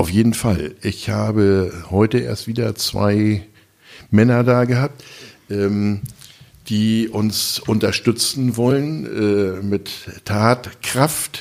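At a very slow pace, a man speaks with fairly low pitch and ordinary pitch variation. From northern Germany, Lower Saxony. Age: 60s. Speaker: food bank volunteer leader, retired soldier. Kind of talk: casual interview. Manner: hesitant, many filler sounds.

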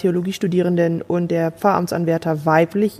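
A woman at medium pitch and a fairly quick pace, with a dark, mellow tone. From Germany. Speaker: theologian, pastor candidate. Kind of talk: sermon; interview. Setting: Skype call.

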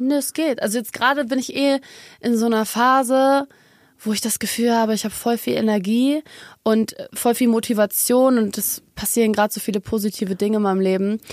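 A woman speaks in an ordinary speaking voice at a fairly quick pace, her pitch fairly high and her intonation fairly even, with a dry, close sound and no echo. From Germany, Munich. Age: 20s. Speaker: singer. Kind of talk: casual chat. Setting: studio.

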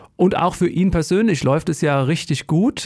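A man with a fairly high pitch speaks at a moderate pace. His is an unremarkable speaking voice. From Germany, Odenwald region. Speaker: ice hockey reporter. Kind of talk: casual chat.

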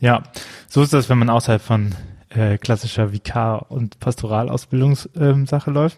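With fairly even intonation and a medium pitch, a man speaks at a moderate pace in a dry, close sound with no echo. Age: 30s. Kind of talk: casual chat about a Bible text. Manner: hesitant, many filler sounds.

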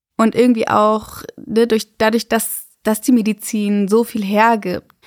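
Very slowly and with monotone, flat intonation, a woman speaks at a fairly high pitch in a dry, close sound with no echo. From Germany, Freiburg. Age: 20s. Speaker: midwife. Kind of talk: interview, casual chat.

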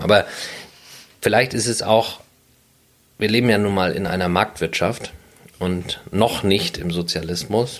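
Speech moves at a medium speed. Its pitch shifts in an ordinary way. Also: man. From Sylt, northern Germany. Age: 30s. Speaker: businessman and landlord. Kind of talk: interview.

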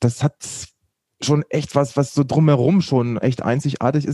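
A man with a fairly high pitch and a dark, mellow tone speaks with fairly even intonation in a dry, close sound with no echo. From Lower Saxony, Braunschweig area. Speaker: TV news presenter and reporter. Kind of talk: casual interview. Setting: remote call.

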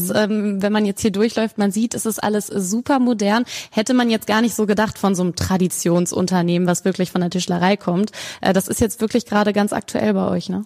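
A woman with an unremarkable speaking voice talks at a fairly quick pace and medium pitch, keeping her intonation fairly even. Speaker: podcast host. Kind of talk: casual interview. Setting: large showroom, echoey. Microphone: room echo.

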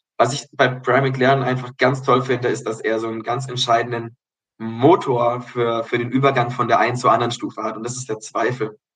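Fairly quick, monotone, flat delivery from a man of medium pitch. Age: 20s. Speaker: forest kindergarten director, religious education graduate. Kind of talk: casual interview.

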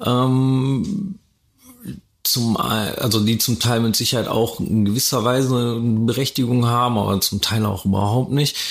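A man with an unremarkable speaking voice talks at a fairly slow pace. His loudness stays very even, with ordinary pitch variation. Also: medium pitch for a man. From Germany, Ruhr area (Dortmund). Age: 30s. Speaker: DJ and event organizer. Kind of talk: interview, casual chat. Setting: concert venue, on location.

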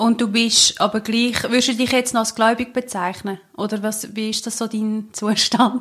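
A woman talks at a moderate pace with hardly any pauses. Her fairly high voice stays monotone and flat. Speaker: podcast co-host. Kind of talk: casual chat.

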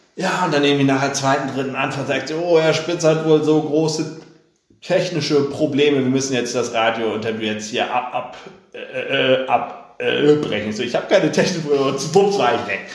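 This man's voice is fairly high, with ordinary pitch variation. He speaks at a moderate pace, and room echo can be heard. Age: 30s. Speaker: politician. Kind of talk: interview.

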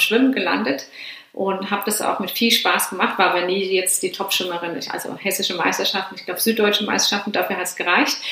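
A woman talks very fast in a medium-pitched voice with fairly even intonation. Room echo is audible, and there is noticeable background noise. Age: 30s. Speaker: former pro triathlete and coach. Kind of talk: interview.

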